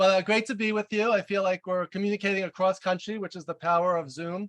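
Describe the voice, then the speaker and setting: A man speaks very fast and loud in a high pitch, with a slight New York accent and fairly even intonation. The sound is dry and close, with no echo. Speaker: leadership coach and author. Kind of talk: webinar presentation. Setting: video call.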